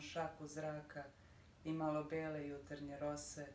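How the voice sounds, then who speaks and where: Room echo can be heard in the clip, and there is noticeable noise behind it. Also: woman. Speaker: poet and radio editor. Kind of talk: poetry reading.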